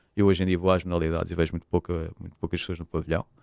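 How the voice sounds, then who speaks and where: Here a man speaks with a Lisbon accent. The recording is very clean and dry, close-miked with no echo and a silent background. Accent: European Portuguese, Lisbon. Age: 40s. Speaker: football club presidential candidate and sports lawyer. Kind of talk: podcast interview. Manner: hesitant, many fillers and repetitions.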